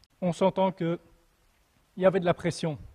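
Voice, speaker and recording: In a dry, close sound with no echo, a man with a slight Belgian accent speaks at a high pitch. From Belgium. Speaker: preacher. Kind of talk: sermon. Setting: church, livestreamed without audience. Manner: halting, with repetitions and fillers.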